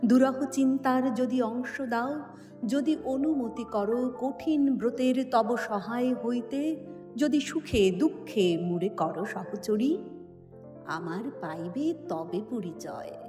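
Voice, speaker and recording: Over background music, a woman speaks in a dramatic tone with a high pitch and lively intonation. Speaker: voice actor. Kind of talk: poetry reading. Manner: dramatic, expressive.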